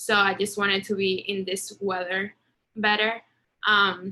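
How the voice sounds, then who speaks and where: Speaking at a moderate pace, a woman with a Spanish accent has a bright, sharp tone. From Venezuela. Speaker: international student. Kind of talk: casual introduction on video call.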